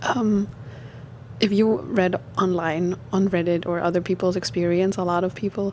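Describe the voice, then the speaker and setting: Noticeable background noise behind a woman of medium pitch with a non-native accent, at a fairly slow pace. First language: not English. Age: 30s. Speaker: lifestyle vlogger. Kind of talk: personal story. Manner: hesitant, many fillers.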